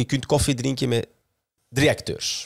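A man at a moderate pace, dry with no echo, over a quiet background. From Flanders. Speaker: podcast host. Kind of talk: casual chat. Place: studio. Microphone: studio mic.

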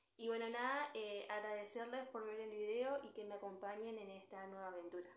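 A woman with an Argentine accent talks at a fairly quick pace with fairly even intonation. Audible room echo surrounds her voice. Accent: Argentine Spanish (Rioplatense). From Argentina. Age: 20s. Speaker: book youtuber. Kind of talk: casual talk to camera. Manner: hesitant, many fillers. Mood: friendly, cheerful. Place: home room. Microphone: phone near.

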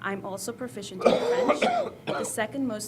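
A woman with an American accent talks at a fairly quick pace over noticeable background noise, with audible echo from the room. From El Salvador, raised in the US. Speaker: school community liaison, former language teacher. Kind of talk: presentation. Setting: school board meeting. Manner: formal.

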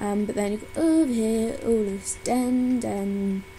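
A woman's fairly high-pitched voice at a fairly slow pace over music in the background. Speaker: game reviewer. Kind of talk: casual gameplay commentary. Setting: low-quality home microphone. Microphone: webcam.

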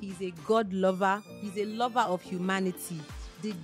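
Clear background music behind a woman's fairly slow delivery. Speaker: radio show host. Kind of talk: radio show introduction. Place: studio. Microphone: studio mic.

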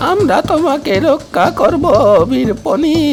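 Someone uses a put-on character voice over clear background noise. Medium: read story. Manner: solemn, incantatory.

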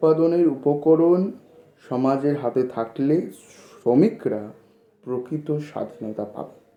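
A man's fairly high-pitched voice, ordinary in its pitch variation, with audible room echo. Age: 20s. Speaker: YouTuber explaining political theory. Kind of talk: lecture.

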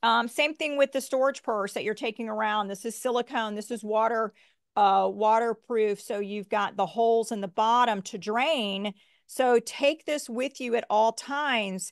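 In a quiet background, a woman with an American accent talks at a moderate pace with ordinary pitch variation. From United States. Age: 50s. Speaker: physician and product maker. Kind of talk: casual chat and tutorial. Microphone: video call.

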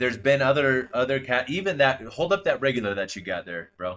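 The voice moves at a moderate pace with lively intonation. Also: man. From Northern Washington, US. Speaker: YouTube collector channel host. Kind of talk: casual chat. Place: home room. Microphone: video call.

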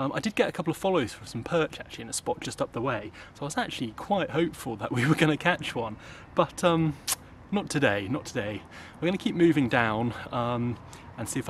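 Against light background noise, a man talks at a very fast pace in a somewhat breathy voice with lively intonation. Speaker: angler vlogger. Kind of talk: casual vlog chat. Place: waterside. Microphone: phone near.

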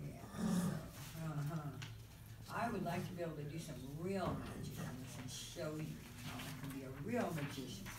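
Loud background noise surrounds a man who talks at a fairly quick pace. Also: ordinary pitch variation. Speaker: presenter. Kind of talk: casual talk to group. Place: hall. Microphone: camera far.

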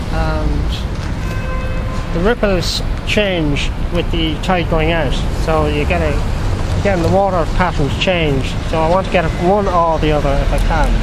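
A man at a fairly slow pace over loud background noise, in a dry recording with no echo. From Drogheda, Ireland. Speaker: painter. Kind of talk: casual talk while painting outdoors. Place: waterside. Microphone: phone near.

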